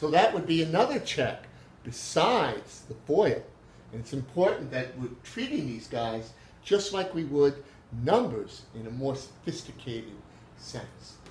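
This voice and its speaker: At a fairly slow pace, a man speaks in a fairly high voice with very wide pitch swings. Audible room echo and noticeable background noise surround him. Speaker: math teacher. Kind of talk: lecture. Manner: halting, many fillers.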